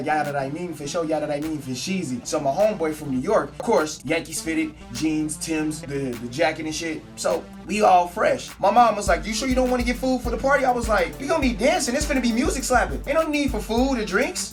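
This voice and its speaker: A high-pitched man, very fast with hardly any pauses and very wide pitch swings, music in the background. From San Francisco Bay Area. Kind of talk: storytime vlog, casual talk to camera. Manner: casual, humorous.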